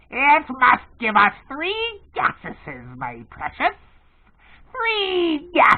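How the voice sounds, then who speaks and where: Putting on a character voice at an extremely high pitch, a man speaks very slowly with long, frequent pauses and audible hissing. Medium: read story. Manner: talks to himself as 'my precious', repetitive, childish plurals.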